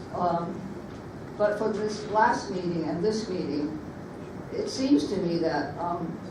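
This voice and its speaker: A woman speaks at a very slow pace with long, frequent pauses and a fairly low pitch with ordinary variation, with audible room echo and noticeable background noise. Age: 80s+. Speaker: public commenter, former animal welfare volunteer. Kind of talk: public comment at commission meeting. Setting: public meeting. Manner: halting.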